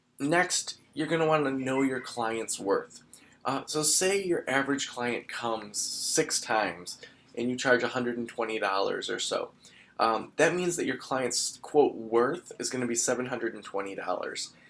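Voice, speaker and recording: Noticeable background noise sits under a man's voice. He speaks at a moderate pace and medium pitch with ordinary pitch variation. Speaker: podcast host and private practice consultant. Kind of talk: solo podcast advice talk. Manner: casual with many fillers.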